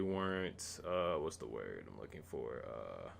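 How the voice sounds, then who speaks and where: This man's voice sits fairly low. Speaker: wrestling reviewer. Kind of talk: casual commentary review. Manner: stuttering; filler-heavy, halting.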